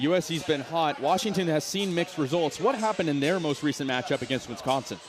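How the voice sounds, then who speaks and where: Music plays in the background as a man talks at a very fast pace. His pitch is fairly high. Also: ordinary pitch variation. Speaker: sports play-by-play announcer. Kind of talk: TV sports broadcast open.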